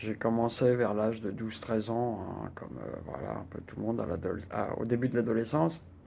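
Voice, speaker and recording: A man talks at a moderate pace with vocal fry, ordinary pitch variation and hardly any pauses, with audible room echo. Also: medium pitch for a man. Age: 60s. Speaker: retiree sharing personal experience. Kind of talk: personal testimony. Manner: hesitant, many fillers and repetitions.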